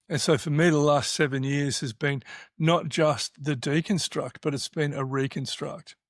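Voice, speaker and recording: Speech in an Australian accent at a moderate pace with fairly even intonation, in a very clean recording with a silent background and a dry, close sound with no echo. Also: man, fairly high pitch for a man. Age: 60s. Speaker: podcast host. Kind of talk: casual chat. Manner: halting.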